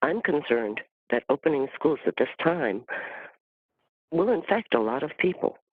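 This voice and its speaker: A man with a fairly high voice and vocal fry talks at a moderate pace, his pitch swinging very widely. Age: 60s. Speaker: community member giving public testimony. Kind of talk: public testimony. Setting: virtual meeting, audio only.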